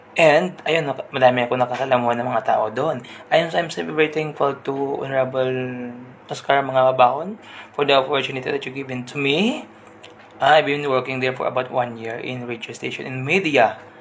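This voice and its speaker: A man speaks at a medium pitch with ordinary pitch variation. Noticeable background noise can be heard. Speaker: radio host turned livestream storyteller. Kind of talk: live stream chat and story reading. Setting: indoor room with neighbours next door. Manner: deliberately restrained volume.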